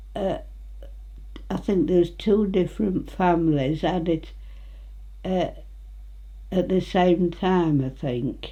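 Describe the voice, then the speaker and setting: Speaking in an East Midlands accent, a woman uses a fairly low pitch, a dark, mellow tone and vocal fry, with ordinary pitch variation, a very slow pace and long, frequent pauses. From England, Retford, Nottinghamshire. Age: 90s. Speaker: elderly local resident. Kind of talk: casual reminiscing interview. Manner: halting.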